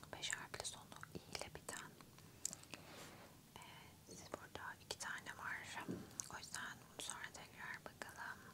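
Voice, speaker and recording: A woman whispers fairly slowly, with long, frequent pauses. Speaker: ASMR creator. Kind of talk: ASMR close-whisper puzzle solving. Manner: whispered, soft, slow. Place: home room. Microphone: studio mic.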